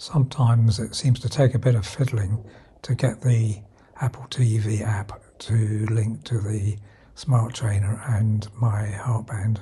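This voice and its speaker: A man's British-accented voice, dark and mellow in tone, somewhat breathy, medium in pitch, with fairly even intonation and a fairly slow pace. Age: 70s. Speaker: retired amateur cyclist reviewing apps. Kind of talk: tutorial. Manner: halting.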